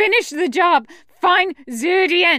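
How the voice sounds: In a put-on character voice, a woman shouts at an extremely high pitch with a bright, sharp tone, slow pace and lively intonation, in a very clean recording with a silent background. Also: dry, close sound with no echo.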